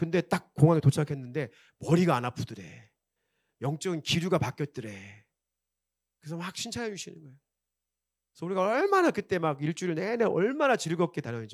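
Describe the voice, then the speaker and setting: Speaking at a very fast pace with lively intonation, a man is captured in a very clean recording with a silent background and a dry, close sound with no echo. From South Korea, Chungcheong region. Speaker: pastor. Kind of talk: sermon. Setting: church. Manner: animated.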